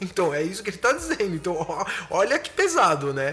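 A man speaks in a raised, projected voice with an animated tone and a high pitch, over noticeable background noise. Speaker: podcast host. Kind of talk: casual monologue analyzing song lyrics.

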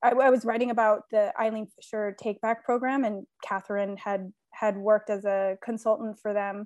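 With a Californian accent, a woman speaks fairly slowly at a fairly high pitch and with fairly even intonation, the sound dry and close with no echo over a quiet background. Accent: Californian American. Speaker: sustainability manager and podcast co-host. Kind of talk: casual interview.

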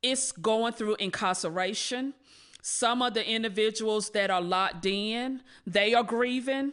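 A woman with an American accent speaks at a fairly slow pace, fairly high in pitch with ordinary variation. The background is quiet. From North Carolina, Rocky Mount. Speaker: reentry program manager. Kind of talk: podcast interview. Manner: halting, many fillers.

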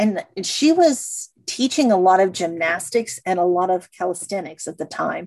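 At a moderate pace with lively intonation and hardly any pauses, this is an ordinary speaking voice. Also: woman, medium pitch for a woman. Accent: American. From Missouri. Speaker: sports museum president. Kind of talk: interview.

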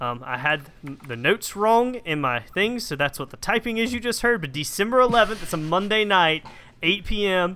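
A man's high voice, raised and projected, with very wide pitch swings, on a very clean recording with a silent background. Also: moderate pace. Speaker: podcast co-host. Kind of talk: casual chat.

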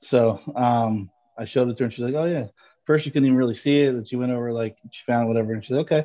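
With an American accent, a man speaks at a very fast pace in a dark, mellow tone, his medium-pitched voice keeping a fairly even intonation. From upstate New York, rural small town. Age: 40s. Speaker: podcast co-host. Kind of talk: casual chat.

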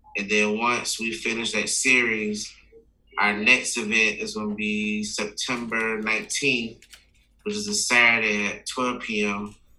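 Over noticeable background noise and audible room echo, a man with an American accent speaks with monotone, flat intonation. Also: medium pitch for a man, fairly slow pace. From US South, Florida (Palm Beach area). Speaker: youth mentorship nonprofit founder. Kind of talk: casual interview.

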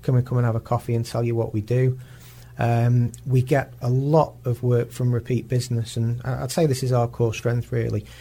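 Dark and mellow in tone, a man's somewhat breathy, medium-pitched voice stays monotone and flat. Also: moderate pace. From northern England, Warrington. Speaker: marketing director. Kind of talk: radio interview. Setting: radio studio. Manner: halting, repeats words.

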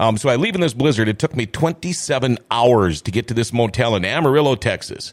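Talking at a fairly quick pace with hardly any pauses, a man with an Upper Midwest accent keeps a medium pitch. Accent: Upper Midwest American. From northwestern Minnesota, US. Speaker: radio host. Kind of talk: casual chat. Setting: studio.

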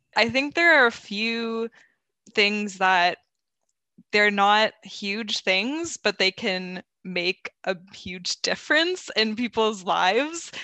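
Against a quiet background, a woman with a fairly high pitch and a bright, sharp tone speaks at a very slow pace with lively intonation. The sound is dry and close, with no echo. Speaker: youth mental health advocate. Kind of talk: roundtable discussion.

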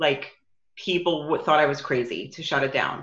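With a New York accent, a woman speaks at a very deep, low pitch. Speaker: business coach. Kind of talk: casual interview.

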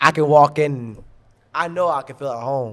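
Speaking in a New York accent, a man uses a fairly high pitch with ordinary pitch variation. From New York, Long Island (Garden City). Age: 20s. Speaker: lacrosse coach. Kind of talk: casual chat. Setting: brewery.

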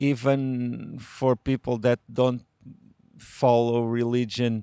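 Speaking at a very slow pace, a man with a Portuguese accent and medium pitch comes through with a dry, close sound and no echo. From Portugal, rural Alentejo village. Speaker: novelist. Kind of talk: interview. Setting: literature festival. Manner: hesitant.

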